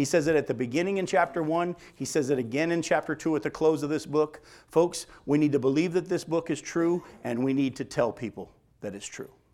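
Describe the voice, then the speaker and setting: This man has a plain, everyday voice, pitched fairly high for a man, and he talks at a fairly quick pace. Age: 50s. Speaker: pastor. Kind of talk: sermon.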